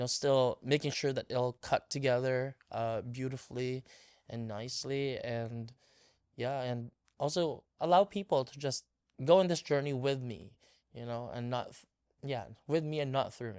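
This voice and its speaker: In a very clean recording with a silent background and a dry, close sound with no echo, a man with a medium pitch talks at a moderate pace in a relaxed tone, with ordinary pitch variation and big swings in loudness. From Philippines. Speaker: filmmaker. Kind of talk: interview. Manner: many fillers, relaxed.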